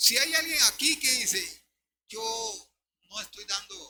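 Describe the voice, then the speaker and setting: A man speaks at a very slow pace with lively intonation. His pitch is high and his tone bright and sharp. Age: 70s. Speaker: pastor. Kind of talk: sermon.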